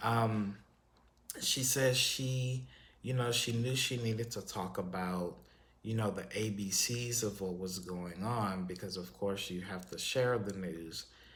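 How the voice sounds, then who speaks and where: Audible room echo surrounds a man with a fairly low pitch, an American accent, and ordinary pitch variation. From Texas. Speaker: YouTube commentary host. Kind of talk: casual vlog monologue. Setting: solo on camera. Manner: hesitant, many fillers.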